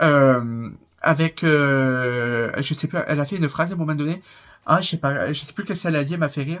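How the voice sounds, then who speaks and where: A man with a strong southern French accent speaks at a fairly high pitch. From southern France. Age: 20s. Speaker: YouTuber reacting to reality TV. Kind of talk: casual vlog commentary. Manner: hesitant, many fillers.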